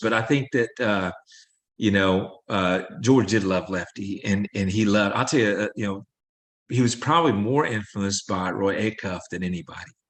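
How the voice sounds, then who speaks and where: A man's fairly low voice at a moderate pace, ordinary pitch variation, quiet background. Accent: American. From Southeast Missouri. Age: 60s. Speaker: country songwriter and singer. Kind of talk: interview. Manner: halting, many fillers.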